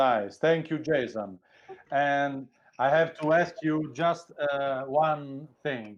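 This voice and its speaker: A man with a non-native accent, fairly high in pitch, at a very slow pace with ordinary pitch variation. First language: not English. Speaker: game master. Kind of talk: casual chat.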